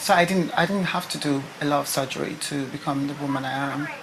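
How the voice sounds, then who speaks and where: A woman's very deep, low voice at a very fast pace, with noticeable background noise and audible room echo. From Nigeria. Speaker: beauty pageant contestant. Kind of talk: interview testimony.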